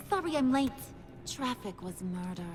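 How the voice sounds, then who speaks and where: A put-on, sing-song character voice, female-sounding and high-pitched for a woman, with very wide pitch swings, a moderate pace, and clear background noise. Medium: video game. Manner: sing-song, teasing.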